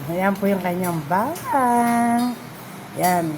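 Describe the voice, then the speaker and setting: A woman speaks over noticeable background noise. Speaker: vlogger and massage therapist. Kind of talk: live food vlog. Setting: restaurant, livestream.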